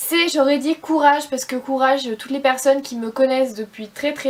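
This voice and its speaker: Fairly even intonation carries the speech along at a fairly quick pace. Noticeable background noise can be heard. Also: woman. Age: 20s. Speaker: beauty vlogger. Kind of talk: casual vlog talk to camera. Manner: hesitant, many fillers.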